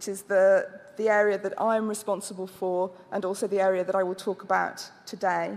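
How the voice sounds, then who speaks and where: A woman with a British accent at a medium pitch, speaking fairly slowly. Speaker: health agency director. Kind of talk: conference presentation. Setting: conference with audience and translation. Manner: halting.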